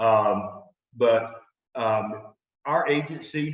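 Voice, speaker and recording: A man with a North Carolina accent speaks with fairly even intonation. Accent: North Carolina Southern. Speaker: marketing executive. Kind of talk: business webinar. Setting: live webinar.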